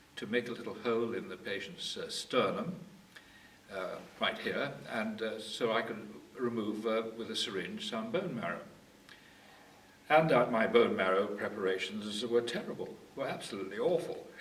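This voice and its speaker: Amid noticeable background noise and audible room echo, a man at medium pitch speaks at a moderate pace with lively intonation and long, frequent pauses. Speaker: retired medical geneticist. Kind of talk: oral history interview. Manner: halting, many fillers.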